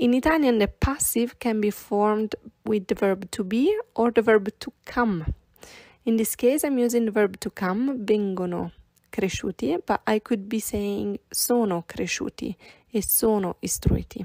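Dark and mellow in tone, a woman's fairly high voice moves at a very slow pace with ordinary pitch variation, recorded very cleanly against a silent background with a dry, close sound and no echo. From Italy. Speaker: Italian language teacher. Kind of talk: language lesson podcast.

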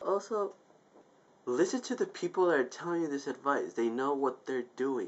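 Lively intonation marks a man's voice with a fairly high pitch. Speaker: YouTube vlogger. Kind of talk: angry venting rant to camera. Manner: exasperated, profane outbursts, repeating 'I told you'; rambling, self-interrupting, casual filler-heavy. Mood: exasperated ranting. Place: home room. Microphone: webcam.

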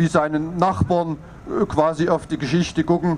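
The speech moves at a fairly slow pace. Light background noise can be heard. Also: man. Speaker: speaker. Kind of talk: political speech. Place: street. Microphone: handheld.

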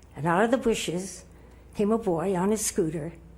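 A woman speaks somewhat breathily at a medium pitch. Her pace is moderate and her intonation lively. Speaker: public commenter at city council. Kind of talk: public comment speech. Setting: city council meeting.

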